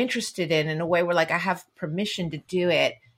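With a Californian accent, a woman speaks at a medium pitch. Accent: American, Californian. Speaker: novelist and essayist. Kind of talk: casual literary interview chat. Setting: remote call from home office.

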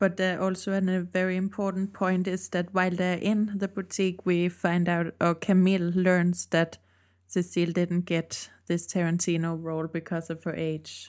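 Recorded very cleanly against a silent background, a woman speaks at a fairly low pitch in a monotone, flat way. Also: moderate pace. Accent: Danish. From Denmark. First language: Danish. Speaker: podcast co-host. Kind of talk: casual chat.

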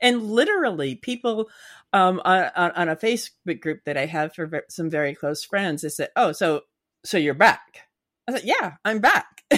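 A woman speaking at a moderate pace swings her pitch very widely in a very clean recording with a silent background. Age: 50s. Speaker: author and content creator. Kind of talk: casual interview. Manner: halting, repeats words.

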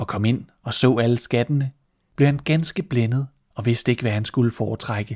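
Against a quiet background, a speaker uses a natural reading voice.

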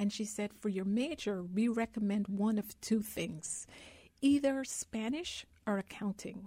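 A woman's somewhat breathy voice, dark and mellow in tone, fairly high in pitch, with ordinary pitch variation and a fairly slow pace. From Guyana. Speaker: investment advisor. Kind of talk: radio interview. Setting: live radio on campus.

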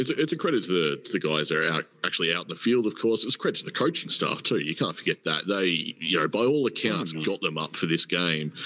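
Speaking at a very fast pace with hardly any pauses, a man with an Australian accent has a very deep, low pitch, a bright, sharp tone, and lively intonation. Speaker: podcast host. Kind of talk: casual live chat. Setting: hotel lobby, online audio space.

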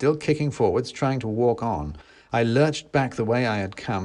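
Someone is reading aloud in a natural voice. The delivery stays like that throughout.

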